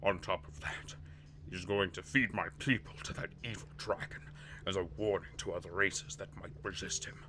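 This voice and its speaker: Putting on a character voice, a man speaks at a moderate pace over clear background noise. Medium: game stream. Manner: hearty, urgent, solemn.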